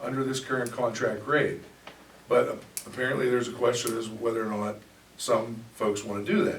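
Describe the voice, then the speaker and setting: Someone talks at a fairly quick pace with audible room echo and noticeable background noise. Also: man. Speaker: township solicitor. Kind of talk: heated debate. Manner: loud; formal.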